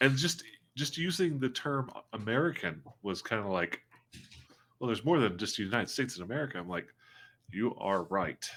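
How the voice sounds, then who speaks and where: A man's medium-pitched voice at a fairly quick pace, with very wide pitch swings and long, frequent pauses, in a very clean recording with a silent background. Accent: Southern US. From US South. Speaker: tabletop game streamer. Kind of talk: casual chat. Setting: live stream.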